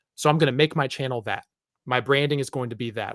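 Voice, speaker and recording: Speaking very fast, a man is heard in a very clean recording with a silent background and a dry, close sound with no echo. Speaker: YouTube movie channel creator. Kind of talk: casual chat.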